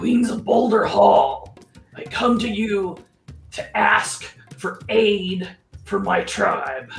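Over faint background music, a female-sounding voice growls in a put-on character voice at medium pitch and a very slow pace. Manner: pleading.

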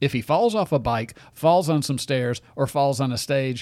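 The man talks at a moderate pace with ordinary pitch variation. The recording is very clean, with a silent background. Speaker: conservative talk radio host. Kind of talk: talk radio monologue. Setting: radio studio. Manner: animated.

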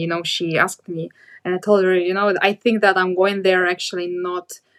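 This is a woman speaking. She has a Russian accent. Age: 30s. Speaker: blogger. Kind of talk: interview.

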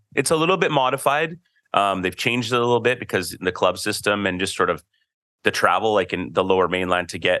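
Over a quiet background, a man with an unremarkable speaking voice and a Canadian accent talks at a fairly quick pace with lively intonation. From Canada. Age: 40s. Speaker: podcast host. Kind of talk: casual chat.

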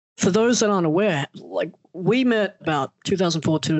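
Ordinary pitch variation from a man speaking with an Australian accent. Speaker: podcast host. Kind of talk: casual interview chat.

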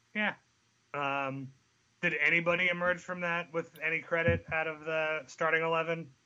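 A man speaks with a fairly high pitch. His delivery is moderate in pace and monotone, with flat intonation. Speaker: football podcast panelist. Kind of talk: casual sports podcast chat.

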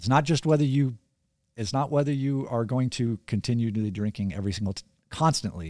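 A man with an American accent talks at a fairly quick pace in a plain, everyday voice at a medium pitch, his intonation lively. The recording is very clean, with a silent background. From California. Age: 50s. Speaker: author and guest. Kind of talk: casual interview. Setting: studio.

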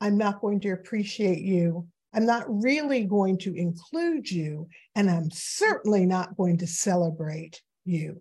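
Speaking fairly slowly in an American accent, a woman with a medium-pitched, dark, mellow and somewhat breathy voice uses ordinary pitch variation. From New York City. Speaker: author and diversity consultant. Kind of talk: conversational interview. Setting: video call.

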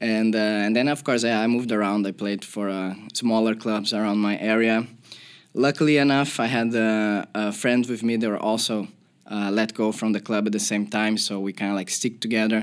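In a Portuguese accent, a man speaks at a moderate pace with a fairly low pitch and monotone, flat intonation. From Brazil, Porto Alegre. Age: 30s. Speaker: professional footballer. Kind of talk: podcast interview. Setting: studio.

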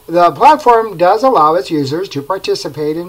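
This man talks at a moderate pace in a plain, everyday voice, his pitch varying in an ordinary way. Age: 50s. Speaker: digital media marketer, podcast host. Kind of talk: solo informational podcast monologue.

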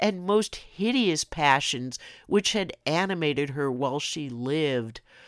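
Recorded very cleanly over a silent background, an unremarkable speaking voice moves at a fairly slow pace with lively intonation. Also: woman. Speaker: podcast host. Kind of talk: reading aloud a classic ghost story, dramatic and spooky. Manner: slow, hushed and theatrical, building dread; casual and chatty in intro and outro.

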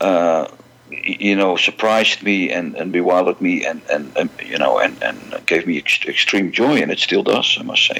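Over noticeable background noise, a man with a Dutch accent talks at a moderate pace. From Netherlands, Amsterdam. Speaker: music fan club president and collector. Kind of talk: interview.

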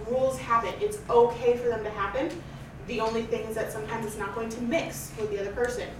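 The speech comes at a very fast pace with fairly even intonation, over noticeable background noise. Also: woman. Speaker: polyamory panelist. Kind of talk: panel discussion. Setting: classroom panel with audience. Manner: soft-spoken.

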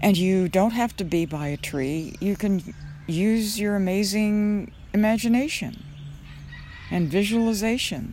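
A woman with a plain, everyday voice at medium pitch, ordinary pitch variation, and a fairly slow pace. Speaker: meditation teacher. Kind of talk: guided meditation. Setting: outdoors. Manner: slow, soft, calming.

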